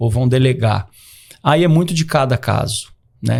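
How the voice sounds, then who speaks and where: A man's somewhat breathy voice carries ordinary pitch variation. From Brazil, São Paulo state interior (Catanduva). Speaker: psychiatrist. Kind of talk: podcast conversation. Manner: hesitant, many fillers and repetitions.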